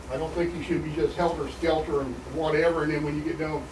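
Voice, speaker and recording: A man with an American accent talks very fast at a fairly high pitch. There is noticeable background noise and audible room echo. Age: 60s. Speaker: resident speaking at public meeting. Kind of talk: public comment at county meeting. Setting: county commissioners meeting. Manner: animated.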